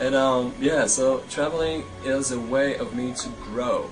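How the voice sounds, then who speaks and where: With a Polish accent and fairly even intonation, a man speaks amid audible room echo and noticeable background noise. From Poland (north, near Gdańsk). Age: 20s. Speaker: traveler. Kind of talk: interview. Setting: outdoors. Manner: halting.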